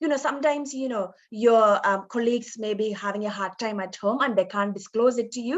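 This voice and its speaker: A woman's fairly high-pitched voice with an Indian accent, fairly quick and with hardly any pauses. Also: ordinary pitch variation. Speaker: nurse educator. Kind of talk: lecture.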